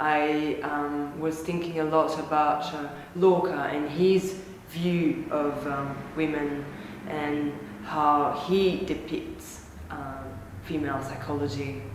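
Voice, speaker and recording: A woman with a French accent and a very deep, low pitch speaks very slowly with fairly even intonation, amid audible room echo and noticeable background noise. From France. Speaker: artist. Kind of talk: interview. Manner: halting.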